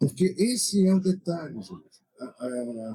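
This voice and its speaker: A man speaks with a dark, mellow tone and lively intonation, recorded with a dry, close sound and no echo. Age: 60s. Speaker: tourism association director. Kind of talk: panel discussion. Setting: trade fair stand.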